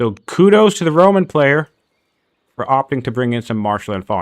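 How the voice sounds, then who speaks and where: A man's medium-pitched voice with very wide pitch swings, in a very clean recording over a silent background. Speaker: game tournament caster. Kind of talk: live commentary. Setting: live stream. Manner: mumbling at times.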